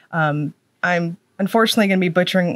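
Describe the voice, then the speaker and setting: A woman at a fairly low pitch with a slight Southern US accent, fairly quick and fairly even in intonation, in a dry, close sound with no echo. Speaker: nail polish reviewer. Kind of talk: product review talk. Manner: casual, chatty.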